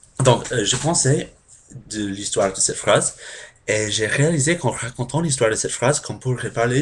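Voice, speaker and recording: A man speaks at a moderate pace with ordinary pitch variation and a somewhat breathy voice. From United States. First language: English (speaking French). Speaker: language learner vlogger. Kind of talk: casual explainer vlog. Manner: halting, many hesitations.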